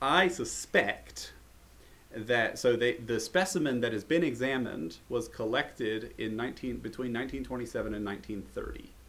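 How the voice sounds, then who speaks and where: A man with an unremarkable speaking voice, an American accent, medium pitch, lively intonation and a fairly slow pace. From United States. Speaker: herpetologist and podcast host. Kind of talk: casual chat.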